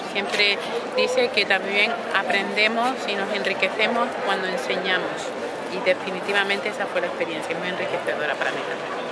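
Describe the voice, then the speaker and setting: A woman's voice comes through loud background noise. The sound is dry with no echo. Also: fairly quick pace. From Canary Islands, Spain. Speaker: opera singer, mezzo-soprano. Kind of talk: interview answer. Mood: warm, reflective. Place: street.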